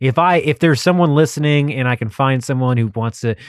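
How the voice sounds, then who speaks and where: In an ordinary speaking voice, a man with an American accent speaks with lively intonation. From Texas. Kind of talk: casual monologue.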